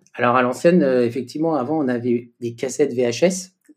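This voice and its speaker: Using an ordinary speaking voice, a man keeps a moderate pace and ordinary pitch variation. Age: 40s. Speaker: inline skater and sports official. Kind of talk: interview.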